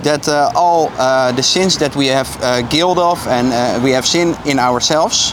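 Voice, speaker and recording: A man with a Dutch accent, fairly high in pitch, with lively intonation at a fairly slow pace, over noticeable background noise. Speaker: street evangelist. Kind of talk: street evangelism conversation. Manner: hesitant, many fillers.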